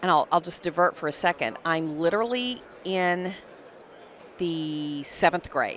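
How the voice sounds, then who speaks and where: With a Texas accent, a woman talks fairly slowly, her pitch varying in an ordinary way, with long, frequent pauses. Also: fairly low pitch for a woman. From Texas (Electra, small town). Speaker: dental hygiene educator. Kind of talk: podcast interview. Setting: live at a conference booth.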